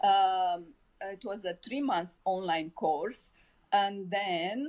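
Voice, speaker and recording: At a very slow pace, a woman speaks with a Romanian accent. Her pitch is medium, with ordinary variation. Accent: Romanian accent, noticeable. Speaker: life coach. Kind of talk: podcast interview.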